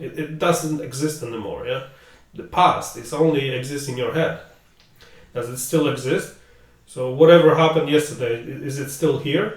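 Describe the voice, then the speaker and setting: With a Polish accent, a man speaks at a moderate pace in a fairly high pitch with ordinary pitch variation and big swings in loudness, amid noticeable background noise and audible room echo. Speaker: podcast host. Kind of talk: casual chat.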